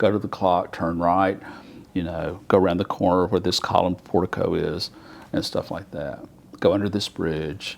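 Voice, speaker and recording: A man with an Alabama accent speaks at a moderate pace in a very deep, low voice with fairly even intonation. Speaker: artist. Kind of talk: oral history interview. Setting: federal courthouse. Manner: conversational with frequent fillers.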